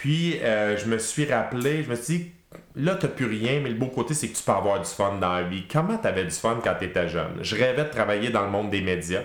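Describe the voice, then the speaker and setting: A man with a Quebec accent speaks at a medium pitch and a moderate pace, his intonation lively. There is audible echo in the room. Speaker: public speaking trainer and former radio host. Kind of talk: casual interview chat.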